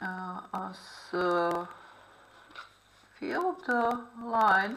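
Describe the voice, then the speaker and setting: Amid audible room echo, a woman with a non-native accent and a bright, sharp tone speaks with lively intonation. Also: medium pitch for a woman. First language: not English. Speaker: art therapy instructor. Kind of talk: tutorial. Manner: halting, many fillers.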